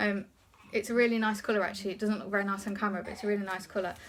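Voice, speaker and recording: Here a woman speaks at a fairly high pitch. Noticeable background noise is present. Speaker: haul vlogger. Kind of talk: casual haul video talk. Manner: fast; hesitant, many ums.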